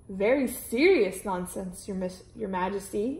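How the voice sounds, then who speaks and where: Using a put-on character voice, a woman talks at a moderate pace and medium pitch. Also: ordinary pitch variation. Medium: read story. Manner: formal, precise.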